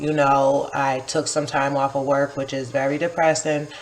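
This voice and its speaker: In an American accent, a woman speaks at a moderate pace with a very deep, low pitch. Noticeable background noise runs underneath. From upstate New York, Kingston. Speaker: poet and vlogger. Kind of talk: casual vlog monologue. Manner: casual, filler-heavy.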